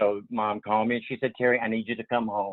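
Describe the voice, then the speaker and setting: A man with a strong Southern US accent talks at a fairly quick pace. His medium-pitched voice stays monotone and flat. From US South, Portsmouth, Virginia. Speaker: retirement community resident. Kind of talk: interview. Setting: video call. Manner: halting.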